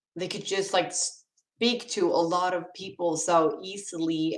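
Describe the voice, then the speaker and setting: A woman with a non-native accent, fairly low pitch and a fairly slow pace. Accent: non-native English accent, noticeable. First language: Swedish. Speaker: livestreamer. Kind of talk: casual chat. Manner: halting.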